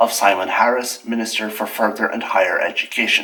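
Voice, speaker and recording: This is a man with an Irish accent. His pitch sits in the medium range. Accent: Irish, Gaeltacht. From Ireland, Gaeltacht. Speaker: video essayist. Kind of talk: scripted commentary. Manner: formal.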